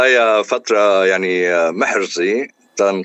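A man's ordinary speaking voice, fairly low in pitch with ordinary pitch variation, at a fairly slow pace. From Lebanon. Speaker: engineer and singer. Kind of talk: radio interview.

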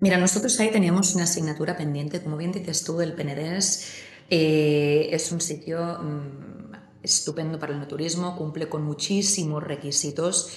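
Amid audible room echo, a woman speaks at a moderate pace with a fairly low pitch and fairly even intonation. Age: 30s. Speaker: winery CEO. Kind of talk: interview. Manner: halting.

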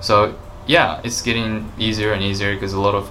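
There is noticeable background noise as a man with a Japanese accent speaks at a moderate pace. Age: 20s. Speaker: vegan YouTuber. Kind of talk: casual chat.

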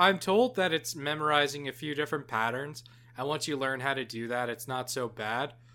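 A man talks at a fairly quick pace with a fairly high pitch. His tone is bright and sharp, with ordinary pitch variation. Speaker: podcast co-host. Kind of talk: casual chat. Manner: halting, jumping word to word.

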